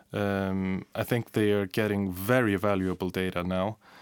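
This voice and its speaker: With an Icelandic accent, a man speaks at a fairly slow pace with a fairly low pitch. His intonation is monotone and flat. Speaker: broadcast journalist. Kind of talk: casual chat. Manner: halting.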